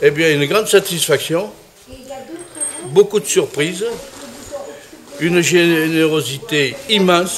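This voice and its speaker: Amid noticeable background noise, a man with a high pitch and ordinary pitch variation speaks at a very slow pace, with long, frequent pauses. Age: 80s+. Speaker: painter. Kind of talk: interview. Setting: art exhibition. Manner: halting.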